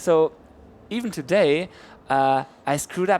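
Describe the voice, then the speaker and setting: The speaker has a German accent and lively intonation, going at a fairly slow pace. It's a very clean recording with a silent background. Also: man. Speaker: event stream host. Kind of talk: interview chat. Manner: halting, many repeats.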